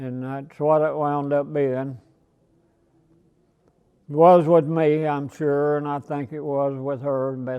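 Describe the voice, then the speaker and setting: A man speaks at a very slow pace in a fairly high pitch, his intonation flat and monotone, with long, frequent pauses. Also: big swings in loudness. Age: 80s+. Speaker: farmer and sawmill owner. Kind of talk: interview answer.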